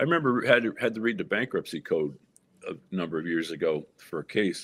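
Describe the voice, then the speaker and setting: Vocal fry marks a man's fairly quick speech, which has very wide pitch swings. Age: 60s. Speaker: lawyer and party chair candidate. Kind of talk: interview.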